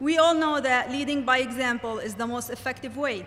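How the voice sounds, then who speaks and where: Projecting her raised voice, a woman speaks at a moderate pace. Her pitch is high and her intonation fairly even. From Lebanon. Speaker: graduating student speaker. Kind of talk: commencement speech.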